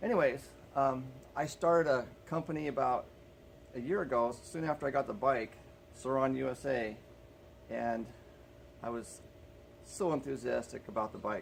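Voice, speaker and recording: A man mumbles at a medium pitch. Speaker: small business owner. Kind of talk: casual vlog monologue. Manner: mumbling; halting, many fillers.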